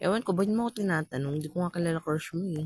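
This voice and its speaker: The speaker is a man. His sound is dry and close, with no echo. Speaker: gaming streamer. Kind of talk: reading and answering viewer comments. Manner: playful, jokey.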